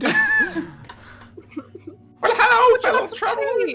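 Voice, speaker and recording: An extremely high-pitched, put-on character voice delivers its lines at a very slow pace. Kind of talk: old-fashioned, jovial. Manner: put-on character voice, genial.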